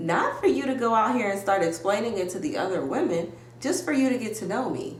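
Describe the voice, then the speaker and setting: Noticeable background noise and audible room echo surround a woman's fairly high-pitched voice. She talks at a fairly quick pace with very wide pitch swings. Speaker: YouTuber reality TV recapper. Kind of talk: casual recap commentary. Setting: home video recording with ring light. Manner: loud; animated.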